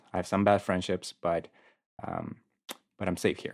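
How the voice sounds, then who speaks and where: Against a quiet background, a man with a Spanish accent speaks in a very deep, low voice, the sound dry and close with no echo. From South Korea and Guatemala. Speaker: university accessibility advisor. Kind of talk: casual interview chat. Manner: friendly, enthusiastic.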